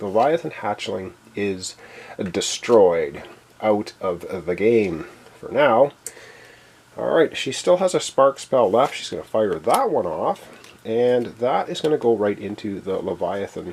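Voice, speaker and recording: Very wide pitch swings in a male voice of medium pitch, set against noticeable background noise. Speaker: board game playthrough host. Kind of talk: solo board game playthrough commentary. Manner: casual, thinking aloud with fillers.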